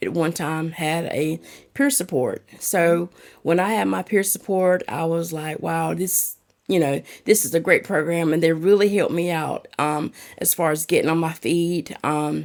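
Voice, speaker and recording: A woman with a strong North Carolina accent, fairly low in pitch, at a moderate pace. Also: very clean recording, silent background. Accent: thick southern North Carolina. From North Carolina, Lumberton. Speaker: peer support specialist. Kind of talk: podcast interview.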